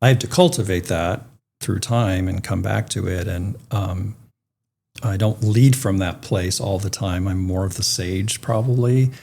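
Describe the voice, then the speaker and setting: A man's somewhat breathy voice, dark and mellow in tone, fairly low in pitch, with ordinary pitch variation and a fairly slow pace. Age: 60s. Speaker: retired philanthropy leader and activist. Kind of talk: interview. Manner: halting.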